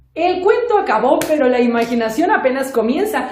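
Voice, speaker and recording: Through noticeable background noise, a woman speaks at a moderate pace with very wide pitch swings. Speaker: storyteller. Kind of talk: children's oral storytelling. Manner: lively, expressive.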